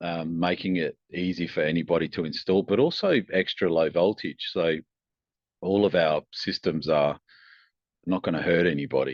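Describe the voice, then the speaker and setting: Intonation stays fairly level as the words come at a medium tempo. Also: man, very deep, low pitch for a man. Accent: Australian. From Australia. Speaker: tech company founder and engineer. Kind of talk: podcast interview. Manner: hesitant, many fillers and restarts.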